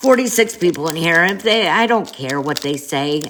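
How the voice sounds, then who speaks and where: A woman speaks with very wide pitch swings. Noticeable noise sits in the background. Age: 40s. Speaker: livestreamer. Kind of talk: casual live stream chat. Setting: live stream on an app.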